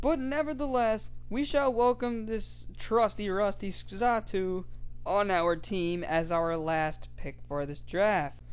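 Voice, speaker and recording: Very slow speech over music in the background. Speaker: gaming YouTuber. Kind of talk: scripted narration.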